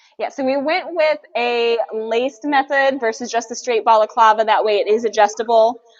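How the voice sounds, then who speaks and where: Noticeable background noise sits behind a woman with a fairly high pitch. She talks with hardly any pauses and ordinary pitch variation. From California. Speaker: livestream co-host for a mask company. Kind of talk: casual live stream chat. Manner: fast; animated.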